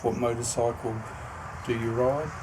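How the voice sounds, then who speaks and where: Amid audible room echo and noticeable background noise, a man with an Australian accent speaks at a medium pitch and a fairly slow pace in a monotone, flat way. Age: 60s. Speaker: founder of an organisation. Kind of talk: self-recorded introduction video. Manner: halting, frequent ums.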